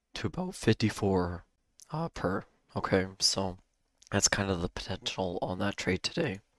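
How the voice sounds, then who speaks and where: Very deep and low, a man's voice moves at a moderate pace with ordinary pitch variation, dry and close with no echo on a very clean recording against a silent background. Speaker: day trading streamer. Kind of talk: live trading stream commentary. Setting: live stream.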